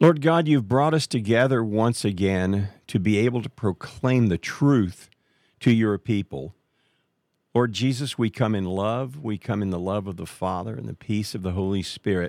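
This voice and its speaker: A man speaks at a moderate pace with a fairly low pitch and ordinary pitch variation, in a plain, everyday voice. The sound is dry and close with no echo, on a very clean recording with a silent background. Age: 60s. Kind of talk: religious talk show interview with prayer. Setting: live call.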